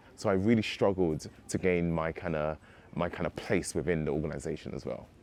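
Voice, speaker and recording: A man's very deep, low voice in a London accent, fairly quick in pace, with ordinary pitch variation. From London, England. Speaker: civil servant. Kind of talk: testimonial interview.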